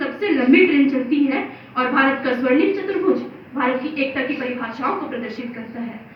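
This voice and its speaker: Through noticeable background noise, a woman's high-pitched voice swings very widely in pitch. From India, Chhattisgarh. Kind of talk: declamation contest speech. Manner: oratorical, impassioned.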